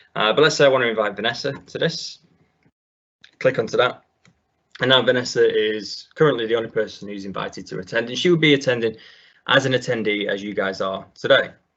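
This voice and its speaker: Talking at a very fast pace, a man with a northern English accent breaks off in long, frequent pauses. His pitch sits in the medium range, with ordinary variation. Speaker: IT consultant, webinar presenter. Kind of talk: webinar tutorial. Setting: online webinar, screen share. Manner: frequent fillers, uh and um.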